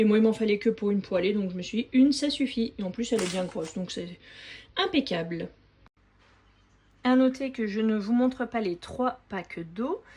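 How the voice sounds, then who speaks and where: Her tone is dark, mellow and somewhat breathy, and her pitch is fairly high with ordinary pitch variation. The woman keeps a moderate pace with long, frequent pauses. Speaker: family grocery-haul vlogger. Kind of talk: product haul show-and-tell. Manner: casual, hesitant with frequent fillers.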